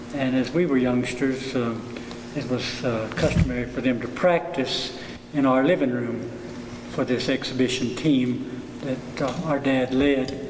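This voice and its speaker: A man with an Appalachian accent, fairly slow and fairly even in intonation, medium in pitch, with audible room echo and noticeable background noise. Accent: Appalachian Southern US. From western North Carolina (Cherokee, Swain County). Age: 60s. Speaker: traditional dancer. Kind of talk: oral history interview. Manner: hesitant, many filler uhs.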